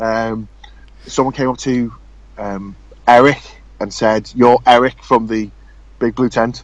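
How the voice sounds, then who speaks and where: A man at medium pitch speaks with an English accent. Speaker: RC car racing podcast host. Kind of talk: casual chat. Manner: fast.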